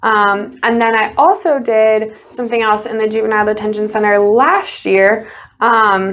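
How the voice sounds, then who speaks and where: There is audible room echo around the voice. A woman talks with a Chicago accent at a fairly high pitch. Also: moderate pace. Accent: Chicago-area American. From US Midwest, Chicago suburbs. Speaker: college basketball player. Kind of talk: casual interview. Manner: loud and excitable.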